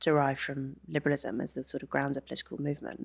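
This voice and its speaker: The speech moves at a very fast pace. The recording is very clean, with a silent background. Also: woman. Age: 30s. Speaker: feminist author and columnist. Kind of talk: interview.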